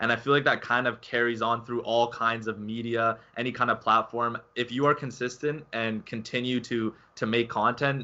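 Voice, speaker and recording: A man with an unremarkable speaking voice at a medium pitch. He talks at a moderate pace with fairly even intonation. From Canada. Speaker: gaming channel host. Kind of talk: interview.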